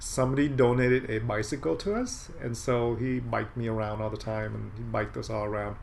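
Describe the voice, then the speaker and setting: A man with a Californian accent, medium pitch and moderate pace, with audible room echo. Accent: Californian American English. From Southern California, Santa Ana. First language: Vietnamese. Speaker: medical doctor. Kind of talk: casual interview.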